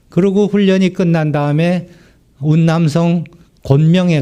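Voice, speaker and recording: A man's fairly high-pitched voice, very slow in pace, with lively intonation. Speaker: missionary. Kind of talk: sermon. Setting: church.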